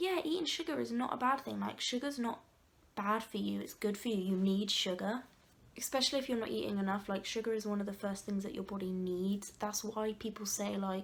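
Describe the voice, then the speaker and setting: A woman with an English accent talks at a fairly quick pace. Her pitch variation is ordinary. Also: medium pitch for a woman. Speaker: vlogger. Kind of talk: casual chat. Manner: loud; animated.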